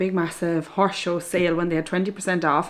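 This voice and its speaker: This is a woman's voice. She speaks with an Irish accent. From Ireland. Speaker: equestrian vlogger. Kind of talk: casual talk to camera.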